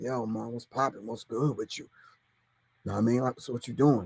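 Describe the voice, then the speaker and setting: Using a put-on character voice, a man speaks at a fairly quick pace with a raspy, medium-pitched sound. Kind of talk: casual street slang.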